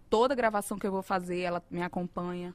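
A woman speaks in a northeastern Brazilian accent. Her voice sits at medium pitch. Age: 40s. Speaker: singer. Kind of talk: casual chat. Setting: studio.

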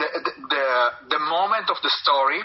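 With an Italian accent, a man talks with ordinary pitch variation. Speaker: metal band musician. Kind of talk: interview. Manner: halting.

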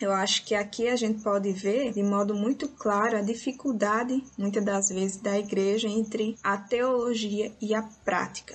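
A somewhat breathy woman's voice, fairly high in pitch, fairly slow and fairly even in intonation. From Guinea-Bissau, raised in Brazil from age 7. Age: 20s. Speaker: Bible school teacher. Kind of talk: recorded reflection.

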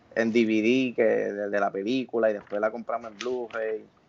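A man is speaking. His pace is moderate. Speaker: film podcast panelist. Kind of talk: casual chat. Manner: animated.

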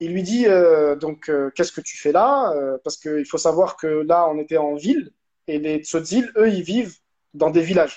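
At a fairly slow pace, a man speaks in a high voice with ordinary pitch variation. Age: 30s. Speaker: documentary filmmaker. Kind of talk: interview conversation.

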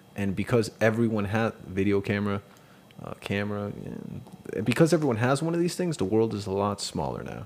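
Lively intonation and a moderate pace from a normal speaking voice. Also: man. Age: 30s. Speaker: podcast co-host. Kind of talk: casual chat.

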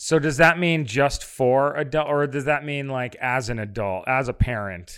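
A man with an American accent talks in a plain, everyday voice at a moderate pace, his pitch fairly high. The recording is very clean, with a silent background. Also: ordinary pitch variation, hardly any pauses. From upstate New York. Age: 40s. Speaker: film and TV director. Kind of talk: casual chat.

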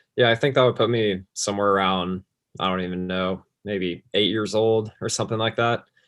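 The man has an unremarkable speaking voice at a fairly low pitch. His intonation stays fairly even. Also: fairly quick pace. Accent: American. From Texas, Plano near Dallas. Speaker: college golfer. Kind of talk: casual interview.

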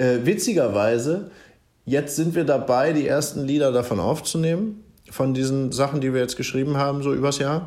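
The speech has ordinary pitch variation and a moderate pace, with audible room echo. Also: man, fairly high pitch for a man. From Germany, raised partly in Bavaria and Schleswig-Holstein. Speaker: singer-songwriter. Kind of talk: interview. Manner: calm; halting.

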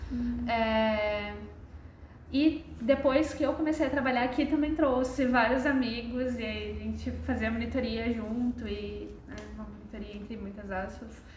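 Amid noticeable background noise and audible room echo, a woman talks at a fairly slow pace with big swings in loudness. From Brazil, Londrina (Paraná). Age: young. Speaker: museum intern, social sciences student. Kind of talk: casual interview.

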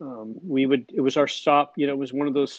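A man talks with an ordinary speaking voice. His pitch is fairly high, and his pace is moderate. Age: 60s. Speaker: drummer and record producer. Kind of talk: casual interview chat. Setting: remote call.

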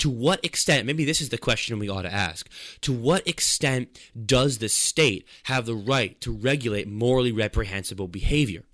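On a very clean recording with a silent background, a man uses a plain, everyday voice at medium pitch with lively intonation. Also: moderate pace. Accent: American. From New York. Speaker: student radio host. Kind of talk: radio interview and commentary. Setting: radio studio.

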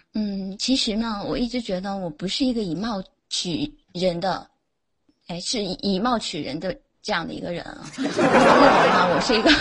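Speaking fairly slowly in a normal speaking voice, a woman uses lively intonation. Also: medium pitch for a woman. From Jiangsu, China. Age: 20s. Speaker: caller. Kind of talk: casual chat. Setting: online voice chat room.

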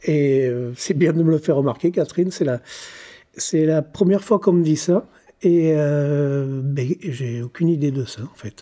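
Fairly slow, fairly high-pitched speech from a man, with a dark, mellow tone and ordinary pitch variation. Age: 50s. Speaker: shopkeeper turned energy healer. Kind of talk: personal testimony. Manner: halting, repeats words.

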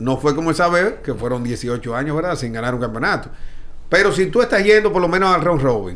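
Audible room echo hangs on the voice. A man delivers his words at a very fast pace. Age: 40s. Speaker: baseball team executive. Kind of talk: casual chat.

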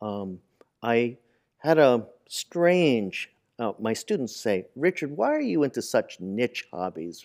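Very slowly and with very wide pitch swings, a man with an American accent speaks at a medium pitch, the sound dry and close with no echo in a very clean recording with a silent background. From New York City (Manhattan). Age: 60s. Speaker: artist and teacher. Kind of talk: interview.

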